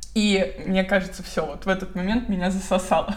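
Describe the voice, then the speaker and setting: Speaking at a moderate pace and medium pitch, a woman is heard over noticeable background noise. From Moscow, Russia. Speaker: blogger and relocation consultant. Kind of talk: casual interview. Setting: online video call.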